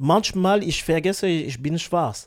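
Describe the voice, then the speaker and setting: On a very clean recording with a silent background, a man with a non-native accent speaks at a high pitch with ordinary pitch variation. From Africa. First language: not German (speaking German). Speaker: musician. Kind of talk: casual interview chat. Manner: halting.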